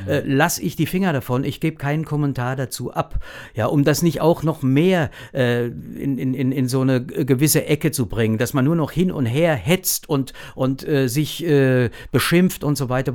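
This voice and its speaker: With a plain, everyday voice, a man talks at a medium pitch using ordinary pitch variation. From Lower Franconia, Germany (Großwallstadt). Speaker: actor. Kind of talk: casual interview.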